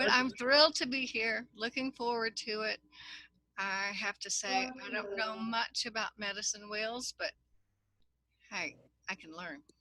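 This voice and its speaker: A woman with a Texas accent speaks slowly-ish, at a fairly slow pace, with a fairly high pitch, ordinary pitch variation and a bright, sharp tone. Long, frequent pauses break up her speech, and the sound is dry and close with no echo. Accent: Texas drawl. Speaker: workshop participant. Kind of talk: casual self-introduction.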